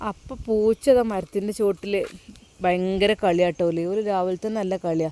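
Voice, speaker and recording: A woman speaks at a medium pitch with a dark, mellow tone. Her intonation stays fairly even, and the sound is dry and close with no echo. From Kerala, Wayanad (Kalpetta). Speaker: vlogger. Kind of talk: travel vlog. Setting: outdoors.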